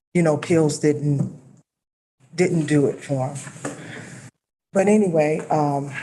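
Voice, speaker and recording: Very slowly and with long, frequent pauses, a woman with an American accent speaks in a very deep, low pitch and fairly even intonation, with audible room echo in the room. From Nevada. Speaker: public commenter. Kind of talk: public comment at meeting. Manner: halting, many fillers.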